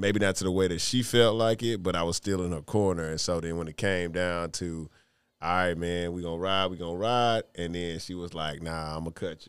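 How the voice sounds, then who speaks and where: A man with an American accent and a very deep, low pitch talks at a fairly quick pace with fairly even intonation on a very clean recording with a silent background. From Houston, Texas. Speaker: dating show contestant, poet. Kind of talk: casual interview chat.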